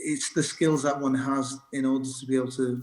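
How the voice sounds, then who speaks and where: A man talks with a slight northern English accent. His intonation stays monotone and flat. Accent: light northern English. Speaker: doctor and medical lecturer. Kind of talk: interview conversation. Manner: halting, many fillers and restarts.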